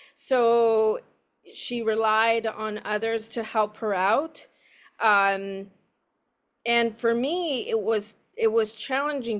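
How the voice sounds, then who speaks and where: A woman with a Spanish accent speaks at a fairly high pitch and with fairly even intonation. The recording is very clean and the background silent. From San Diego, California, Mexican-American family. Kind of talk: interview testimony. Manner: halting, translating while speaking.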